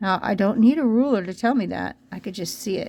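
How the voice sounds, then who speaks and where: Speaking at a fairly quick pace, a woman has a dark, mellow tone. Vocal fry runs through her voice. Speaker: art teacher. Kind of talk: tutorial. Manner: casual, conversational with fillers.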